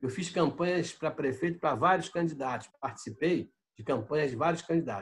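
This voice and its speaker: This man's voice is high-pitched, with ordinary pitch variation. He speaks at a moderate pace. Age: 70s. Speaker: city councillor and former federal deputy. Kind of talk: interview.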